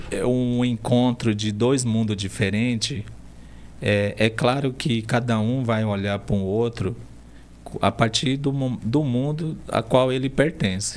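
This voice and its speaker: A man with a medium pitch and ordinary pitch variation talks very slowly. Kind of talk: interview conversation.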